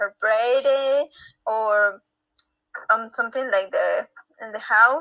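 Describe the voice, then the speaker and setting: A woman with a Spanish accent, fairly high pitch, fairly even intonation and a very slow pace. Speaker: reading club participant. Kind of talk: casual chat. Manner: halting.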